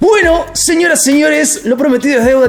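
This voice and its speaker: This man speaks very rapidly. Background noise is clearly audible. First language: Spanish. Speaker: YouTube interviewer. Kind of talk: interview.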